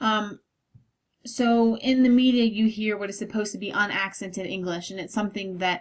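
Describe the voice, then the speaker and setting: A woman with an American accent uses a normal speaking voice at a medium pitch, a moderate pace, and fairly even intonation. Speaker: college anthropology instructor. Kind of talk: recorded lecture. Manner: frequent fillers like um and okay.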